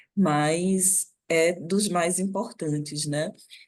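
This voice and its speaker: A woman talks at a medium pitch, with her pitch varying in an ordinary way. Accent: northeastern Brazilian. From Northeast Brazil, Recife. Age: 40s. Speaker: NGO director and professor. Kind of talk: guest lecture.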